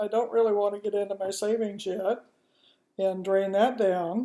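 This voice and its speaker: The woman's voice has a dark, mellow tone and a fairly high pitch. Her pitch varies in an ordinary way. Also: very clean recording, silent background. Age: 60s. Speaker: home business starter. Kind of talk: casual personal introduction video. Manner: informal, chatty; a little uncomfortable on camera.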